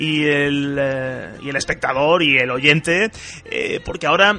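A man speaks with music in the background. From Andalusia, Spain. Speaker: radio host. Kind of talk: radio interview.

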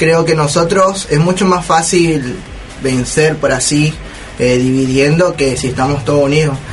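At a moderate pace, a man speaks with fairly even intonation, with audible room echo and noticeable background noise around him. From Argentina. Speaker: student union radio host. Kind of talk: casual chat.

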